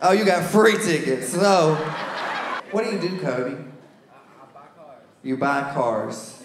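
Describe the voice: A man speaks at a slow pace with ordinary pitch variation. Room echo can be heard.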